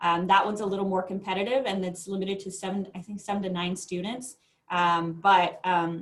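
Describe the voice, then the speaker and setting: Speaking at a fairly quick pace, a woman with medium pitch keeps a monotone, flat intonation. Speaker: school counselor. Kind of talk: informational presentation. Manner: fast.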